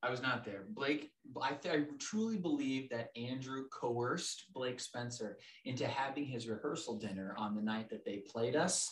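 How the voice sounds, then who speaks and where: Over noticeable background noise, a man talks at a moderate pace with medium pitch and lively intonation. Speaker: guest co-host. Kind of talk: casual chat. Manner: loud.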